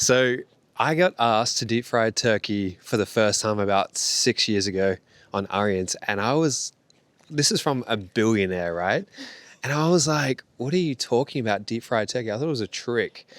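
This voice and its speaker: On a very clean recording with a silent background and a dry, close sound with no echo, a man with an Australian accent speaks at a medium pitch and moderate pace with lively intonation. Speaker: yacht chef. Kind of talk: casual chat.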